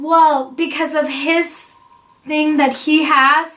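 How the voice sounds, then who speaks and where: A woman's raised, projected voice at a very slow pace. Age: 20s. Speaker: vlogger answering viewer questions about IVF. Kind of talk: casual Q&A chat. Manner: conversational, with frequent fillers. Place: home room. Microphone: camera far.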